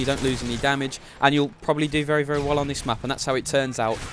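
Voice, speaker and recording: Over noticeable background noise, a man with a fairly high pitch rushes along at a very fast pace in a monotone, flat intonation. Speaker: gaming YouTuber. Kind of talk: gameplay commentary.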